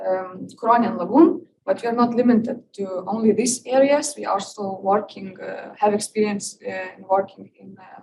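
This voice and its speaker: Spoken with a Lithuanian accent at a moderate pace, the voice has ordinary pitch variation and big swings in loudness. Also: woman, fairly high pitch for a woman, hardly any pauses. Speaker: visiting PhD researcher. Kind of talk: seminar presentation. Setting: lecture room with audience. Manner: halting, many fillers.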